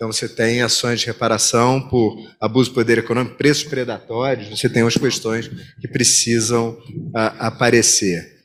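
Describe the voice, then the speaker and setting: With a Rio de Janeiro accent, a man talks in monotone, flat intonation at a medium pitch. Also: moderate pace. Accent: carioca (Rio de Janeiro). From Rio de Janeiro, Brazil. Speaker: competition lawyer, seminar presenter. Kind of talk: conference presentation.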